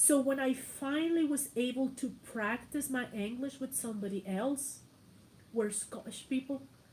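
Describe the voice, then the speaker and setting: A woman speaks at a moderate pace and a high pitch, with ordinary pitch variation. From Mexico, Morelia. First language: Spanish. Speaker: YouTuber. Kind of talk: casual livestream chat.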